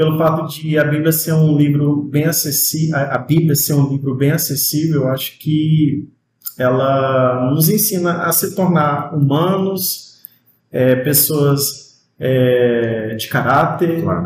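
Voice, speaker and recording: Speaking at a very slow pace, a man with a fairly high, somewhat breathy voice shows ordinary pitch variation. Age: 30s. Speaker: music student. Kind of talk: casual interview chat.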